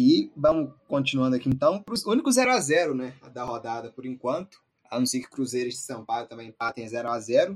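A normal speaking voice from a man at medium pitch, moderate in pace with hardly any pauses and ordinary pitch variation. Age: 20s. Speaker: football podcast host. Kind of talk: casual football discussion.

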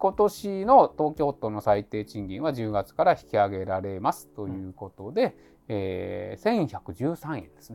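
Talking fairly slowly, a man lets his loudness rise and fall sharply. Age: 50s. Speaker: labor and social security attorney. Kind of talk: casual chat.

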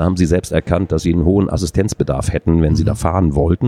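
A man talks at a very deep, low pitch and a fairly quick pace. The sound is dry and close with no echo, though background noise is noticeable. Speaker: adult education manager. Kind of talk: interview. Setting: conference exhibition booth.

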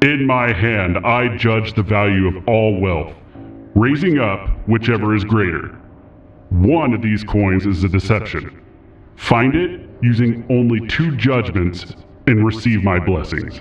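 In a put-on character voice, a man booms at a fairly low pitch and a fairly slow pace with ordinary pitch variation over clear background noise. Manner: solemn, judging.

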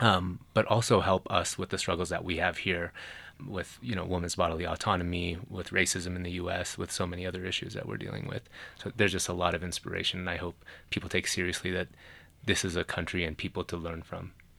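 A very fast-talking man with an American accent, very deep, low pitch, a bright, sharp tone and fairly even intonation. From Los Angeles and Iran. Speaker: environmental design professor. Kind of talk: radio panel discussion. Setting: studio.

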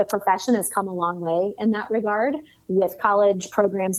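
This is a woman with a plain, everyday voice at medium pitch. She moves at a fairly quick pace with ordinary pitch variation. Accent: American. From US Midwest, Cleveland, Ohio. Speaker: sales author and consultant. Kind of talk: interview conversation.

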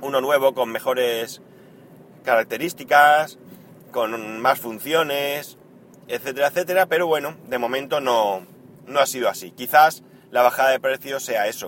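With a fairly bright tone, a man speaks at a moderate pace. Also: medium pitch for a man, ordinary pitch variation.

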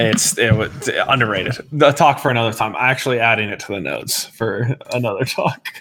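Fairly quick speech from a man with an American accent, noticeable background noise behind him. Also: medium pitch for a man, ordinary pitch variation, hardly any pauses, big swings in loudness. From Colorado. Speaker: gaming podcast co-host. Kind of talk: casual chat.

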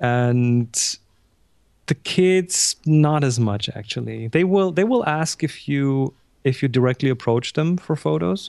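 In a German accent, a man speaks at a fairly slow pace and medium pitch with lively intonation, the sound dry and close with no echo. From Germany. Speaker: photographer and instructor. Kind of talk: interview.

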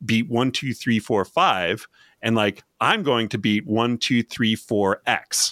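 A man with a Canadian accent has an ordinary speaking voice, medium pitch and ordinary pitch variation, speaking at a fairly slow pace with very even loudness. The sound is dry and close with no echo, and the recording is very clean with a silent background. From Canada. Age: 40s. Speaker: leadership trainer. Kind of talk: casual chat.

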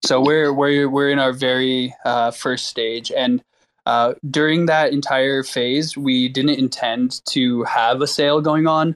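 Delivery is monotone and flat, at a fairly slow pace. Loudness stays very even. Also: man, medium pitch for a man. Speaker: space host. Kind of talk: casual chat. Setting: online audio space.

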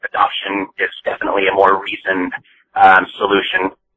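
A man is speaking. He has a slight Boston accent. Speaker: listener leaving voicemail. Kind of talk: voicemail message. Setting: phone voicemail.

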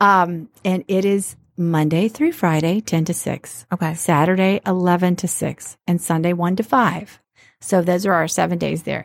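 A woman with an American accent has an unremarkable speaking voice, fairly low in pitch, with fairly even intonation at a fairly slow pace. The sound is dry and close with no echo, and the very clean recording has a silent background. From US South, Alabama. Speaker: bra shop owner and entrepreneur. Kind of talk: casual interview.

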